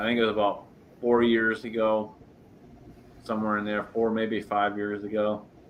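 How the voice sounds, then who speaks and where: A man speaks at a moderate pace in a fairly low voice. His intonation is monotone and flat, with long, frequent pauses. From Scotland. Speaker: YouTuber. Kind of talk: casual chat. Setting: livestream.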